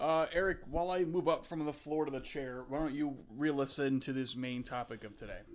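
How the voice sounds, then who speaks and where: An ordinary speaking voice from a man with an American accent, fairly high in pitch, with fairly even intonation and hardly any pauses. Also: fairly quick pace. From USA. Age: 20s. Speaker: podcast co-host. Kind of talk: casual chat.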